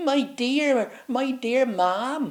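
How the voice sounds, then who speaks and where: Putting on a character voice, the man talks at an extremely high pitch. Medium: read story. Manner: quaint, dialect forms.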